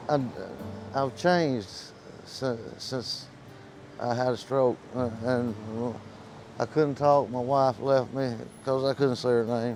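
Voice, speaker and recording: Music plays in the background as a man speaks at a medium pitch. His pace is very slow, with long, frequent pauses. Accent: Southern US. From US South. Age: 60s. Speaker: homeless man, retired bricklayer. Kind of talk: street interview. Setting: outdoors on the street. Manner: halting, stammering after a stroke.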